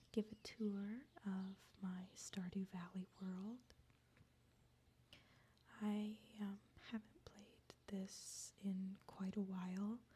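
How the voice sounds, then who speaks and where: A woman speaks at a very slow pace, her pitch medium. Her tone is dark and mellow, somewhat breathy. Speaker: ASMR creator. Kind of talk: ASMR game tour, casual talk. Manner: soft-spoken, semi-whispered.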